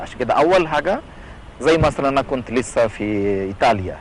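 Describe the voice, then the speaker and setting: A man of medium pitch is heard over noticeable background noise. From India. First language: not Arabic (Indian) (speaking Arabic). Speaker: priest. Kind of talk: TV interview. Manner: halting, non-native phrasing.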